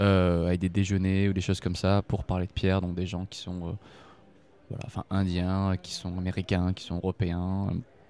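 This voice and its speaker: At a moderate pace, a man with a very deep, low pitch and a dark, mellow tone speaks in a monotone, flat way. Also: very clean recording, silent background. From French Basque Country, Bayonne. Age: 20s. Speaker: gemologist. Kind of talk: interview. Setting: face-to-face. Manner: hesitant, many fillers.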